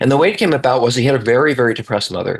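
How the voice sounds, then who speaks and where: At a medium pitch, a man's voice is heard. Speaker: therapist. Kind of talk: live online course Q&A. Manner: fast.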